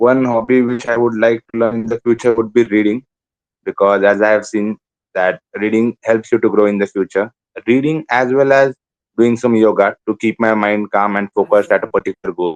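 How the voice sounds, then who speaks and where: A man with an Indian accent speaks at medium pitch and a fairly quick pace. His intonation is fairly even, and the sound is dry and close with no echo. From India, Konkan coast (Malvan, Maharashtra). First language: Malvani. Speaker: exam candidate, call centre worker. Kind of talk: mock speaking exam interview. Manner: hesitant, with fillers.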